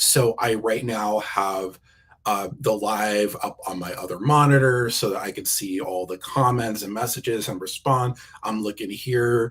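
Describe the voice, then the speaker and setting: Speaking at a fairly slow pace, a man holds a medium pitch and fairly even intonation. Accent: American. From New Jersey, US East Coast. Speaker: keynote speaker. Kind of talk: interview. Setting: live video stream. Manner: halting, with repeated words and fillers.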